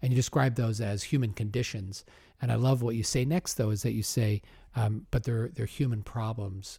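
With a dark, mellow tone and a somewhat breathy quality, a man speaks at a moderate pace in an American accent on a very clean recording with a silent background. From Omaha, US Midwest. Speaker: podcast host. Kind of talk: interview.

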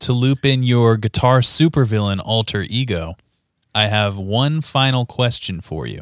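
A man speaks in an ordinary speaking voice at medium pitch, fairly slowly and with ordinary pitch variation, on a very clean recording with a silent background. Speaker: podcast host. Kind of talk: casual interview. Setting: video podcast.

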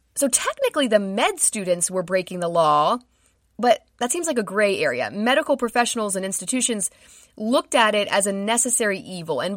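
In a very clean recording with a silent background, a woman talks at a fairly quick pace with lively intonation and a fairly high pitch. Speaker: podcast host. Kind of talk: true-crime narration. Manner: measured, solemn storytelling with dramatic, hushed gravity; clear, steady and scripted-sounding, with grim detail.

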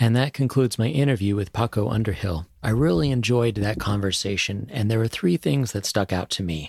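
A man's plain, everyday voice at a fairly low pitch, with ordinary pitch variation, a fairly quick pace, and hardly any pauses. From grew up in Asia, American diplomat family. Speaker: podcast host, corporate market researcher. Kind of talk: interview; scripted outro.

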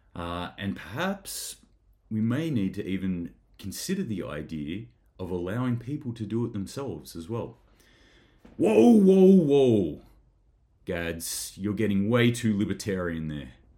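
A man with an Australian accent speaks fairly low and fairly slow, with a dark, mellow tone, lively intonation and long, frequent pauses. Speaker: preparedness vlogger. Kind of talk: solo news commentary. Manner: casual, chatty.

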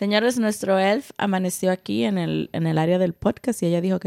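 With a dark, mellow tone and ordinary pitch variation, the voice moves at a moderate pace in a dry, close sound with no echo, on a very clean recording with a silent background. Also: woman. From Dominican Republic. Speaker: podcast co-host. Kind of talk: casual chat; sponsor recommendation.

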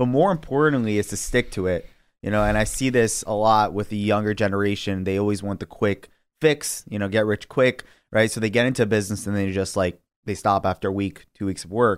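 In an ordinary speaking voice with an American accent, a man talks at a fairly low pitch with ordinary pitch variation on a very clean recording with a silent background. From New York City, Queens. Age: 20s. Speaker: young entrepreneur, online store owner. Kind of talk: podcast interview.

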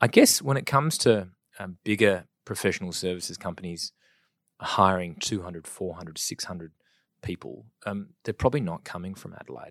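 Loudness swings widely in this fairly quick delivery on a very clean recording with a silent background. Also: man, very deep, low pitch for a man, ordinary pitch variation. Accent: Australian. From South Australia. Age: 30s. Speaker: property industry executive. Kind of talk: interview.

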